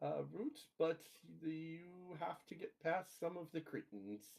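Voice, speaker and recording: This man has a high pitch and lively intonation, and he speaks at a very slow pace. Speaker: tabletop game master. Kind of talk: tabletop roleplay session. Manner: casual with filler words.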